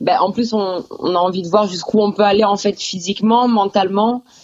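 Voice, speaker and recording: A woman's medium-pitched voice with fairly even intonation at a fairly slow pace. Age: 20s. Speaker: bodybuilding competitor. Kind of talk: interview. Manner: hesitant, many fillers.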